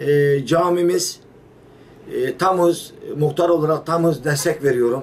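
A man with a fairly high pitch, over light background noise. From Turkey. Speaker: village headman. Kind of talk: interview. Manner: halting, many fillers. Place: office. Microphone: camera far.

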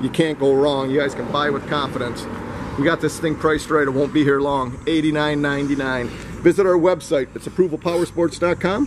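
A man at a moderate pace, fairly even intonation and noticeable background noise behind him. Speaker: dealership salesperson. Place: street. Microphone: phone near.

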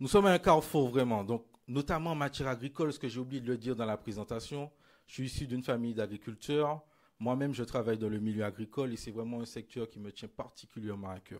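A man talking very fast with big swings in loudness, over a quiet background. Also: ordinary pitch variation. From Martinique (Basse-Pointe); Martinique. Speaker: politician. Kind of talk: political rally speech. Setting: stage with audience. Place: hall. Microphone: lapel.

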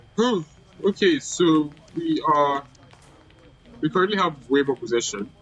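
Over noticeable background noise, a man talks at a very slow pace, his pitch swinging very widely. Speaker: gaming youtuber. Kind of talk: gameplay commentary. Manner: casual, rambling delivery.

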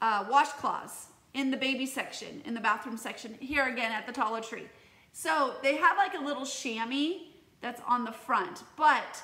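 With audible room echo around her, a woman speaks in a raised, projected voice at a moderate pace, her loudness swinging widely. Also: ordinary pitch variation. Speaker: teacher. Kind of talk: casual tutorial vlog chat. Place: home room. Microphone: phone near.

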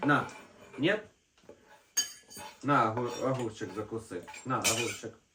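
This man's voice sits at a medium pitch, bright and sharp in tone, moving at a fairly slow pace with ordinary pitch variation.

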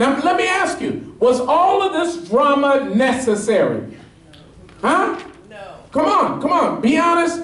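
Amid audible room echo, the animated voice moves at a fairly slow pace, with lively intonation and big swings in loudness. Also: man, extremely high pitch for a man. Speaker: pastor. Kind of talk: sermon. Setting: church with live congregation, also streamed on Periscope. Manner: animated, call-and-response, pressing the congregation for amens; fervent, urgent preaching. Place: church.

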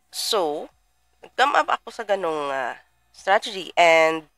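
A woman at a very slow pace, with a dry sound with no echo and faint music in the background. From Philippines. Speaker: trading mentor; trading mentor livestreamer. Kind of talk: live stream. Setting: livestream. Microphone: webcam.

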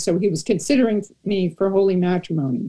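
Against a quiet background, a woman with a dark, mellow tone and a somewhat breathy delivery speaks at a moderate pace with ordinary pitch variation. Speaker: panelist. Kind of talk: panel discussion storytelling. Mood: wry, humorous self-deprecation. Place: home room. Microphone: video call.

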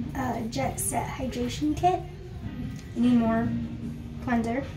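Clear background music behind a woman speaking. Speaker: beauty vlogger. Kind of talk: casual vlog chat. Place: home room. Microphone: phone near.

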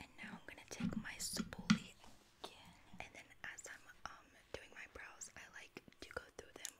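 Whispering, a woman speaks at a fairly slow pace. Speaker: ASMR creator. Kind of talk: ASMR roleplay, makeup application. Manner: whispered, soft, slow-paced. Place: home room.

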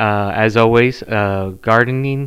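A bright, sharp tone against a quiet background. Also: man. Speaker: podcast host. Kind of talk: casual podcast chat. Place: home room. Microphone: studio mic.

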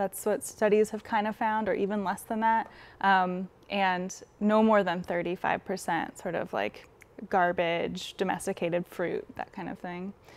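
A woman with an American accent, fairly even intonation and a moderate pace. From rural Eastern Oregon, then Bay Area from 12; Oregon. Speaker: scientist running an urban coyote project; interview guest. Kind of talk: interview; interview answer. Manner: hesitant, many fillers. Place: studio. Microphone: lapel.

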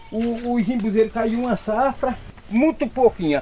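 A man speaks at a high pitch. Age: 80s+. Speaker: farmer. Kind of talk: interview answer. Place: farm. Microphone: phone near.

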